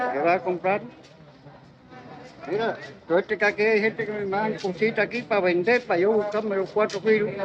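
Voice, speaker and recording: A man talks with a high pitch while noticeable background noise plays behind him. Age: 60s. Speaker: passer-by interviewed on street. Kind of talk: street interview.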